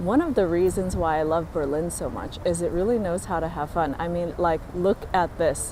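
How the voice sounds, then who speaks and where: A woman with an American accent at a moderate pace, noticeable background noise around her. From US West Coast, San Francisco. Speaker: travel vlogger. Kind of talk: vlog talking to camera. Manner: casual, upbeat.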